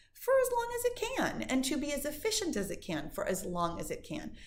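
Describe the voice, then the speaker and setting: Amid audible room echo, a woman speaks at a moderate pace in an animated tone. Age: 50s. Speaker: fitness instructor. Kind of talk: live stream Q&A. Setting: live stream.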